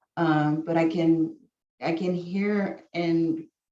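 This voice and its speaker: A woman's fairly low, dark, mellow voice in a Spanish accent, flat and monotone. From San Antonio, Texas. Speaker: college staff member. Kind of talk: casual sharing in a video call session.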